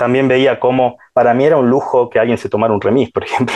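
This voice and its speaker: A man delivers his words at a medium pitch with monotone, flat intonation. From Salta, northwestern Argentina. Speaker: shopkeeper and political supporter. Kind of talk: interview. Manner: hesitant, many fillers.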